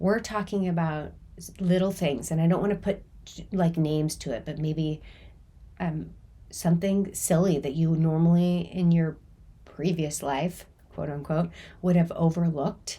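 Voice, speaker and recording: At a moderate pace broken by long, frequent pauses, the voice sounds dark, mellow and somewhat breathy, with fairly even intonation. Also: woman, fairly low pitch for a woman. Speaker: chronic pain coach. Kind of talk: podcast talk.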